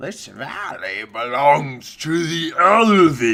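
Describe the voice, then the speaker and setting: A man shouting in a put-on character voice, fairly high-pitched, at a very slow pace. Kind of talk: archaic, formal. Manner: weird, stilted.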